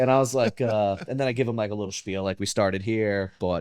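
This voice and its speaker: Speaking at a fairly quick pace, a man uses a fairly low voice. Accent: American. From Brooklyn, New York. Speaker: real estate investor. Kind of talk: casual chat. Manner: fast when excited.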